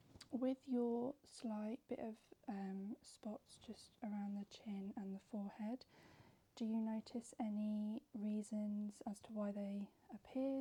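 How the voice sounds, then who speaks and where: A woman with a fairly high pitch talks at a very slow pace in a somewhat breathy voice with a dark, mellow tone. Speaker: skincare professional giving a facial. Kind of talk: informative explanation to a client during a facial, ASMR video.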